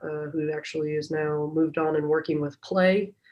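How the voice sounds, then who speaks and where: A woman with an American accent speaks at a moderate pace. Her pitch is very deep and low. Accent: Chicago accent, now said to sound Southern. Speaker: strength and conditioning coach. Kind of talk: podcast interview.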